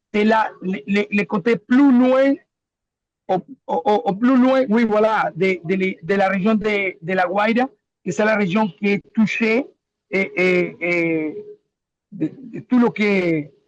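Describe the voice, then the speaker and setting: Heard in a dry, close recording with no echo, a man with a Spanish accent talks very slowly with long, frequent pauses. His pitch is high and varies in an ordinary way. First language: Spanish (speaking French). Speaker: local resident in disaster zone. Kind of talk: webinar testimony. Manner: halting.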